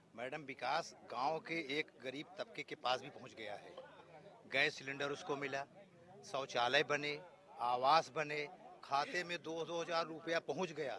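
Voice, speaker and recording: This man has an unremarkable speaking voice with a fairly high pitch. His intonation stays fairly even. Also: big swings in loudness. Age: 60s. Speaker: member of the public. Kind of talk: street interview.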